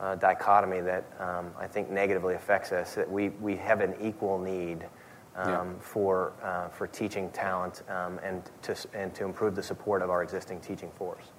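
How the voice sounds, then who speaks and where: A man with an American accent speaks in a very deep, low voice with monotone, flat intonation, and room echo is audible. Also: moderate pace. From Texas (Garland). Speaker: state education official. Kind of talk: onstage interview. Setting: stage with audience. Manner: halting, many fillers.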